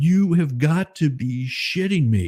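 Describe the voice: Shouting and booming, a put-on character voice moves at a fairly slow pace with lively intonation. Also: man.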